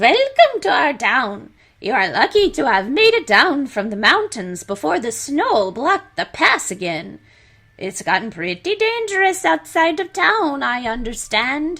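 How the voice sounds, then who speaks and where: A woman puts on a character voice, high-pitched and swinging very widely up and down. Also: moderate pace. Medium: solo performance. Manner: affable, folksy.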